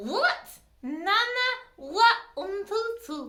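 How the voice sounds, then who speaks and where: A woman speaks in a cartoonish character voice. Her pitch is extremely high. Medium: puppet.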